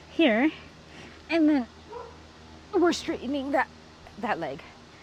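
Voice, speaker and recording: Through noticeable background noise, a woman speaks loud and fairly slowly at a high pitch with lively intonation. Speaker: movement instructor. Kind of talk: tutorial.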